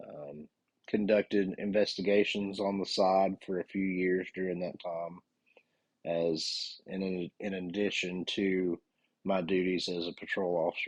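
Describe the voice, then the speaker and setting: Dry and close with no echo, a man's very deep, low voice carries a Southern US accent and a monotone, flat intonation. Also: fairly slow pace. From US South, North Carolina. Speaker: police officer and podcast host. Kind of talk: podcast monologue.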